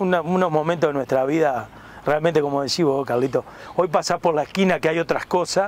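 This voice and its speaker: A man with an unremarkable speaking voice talks at a fairly quick pace, his fairly high pitch and intonation fairly even, loudness very even, and the sound dry with no echo. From Uruguay. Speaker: retired footballer turned interview host. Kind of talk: casual sports interview. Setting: outdoors in a park. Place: garden. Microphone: lapel.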